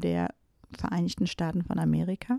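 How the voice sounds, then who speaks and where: A woman's dark, mellow tone comes through in a dry, close sound with no echo. The recording is very clean, with a silent background. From Germany, Teutoburg Forest area. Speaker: spiritual podcast host. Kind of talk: solo podcast monologue. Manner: hesitant with frequent fillers.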